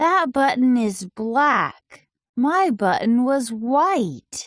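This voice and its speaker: Putting on a character voice, a woman talks very slowly in a high register. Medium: read story. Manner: complaining.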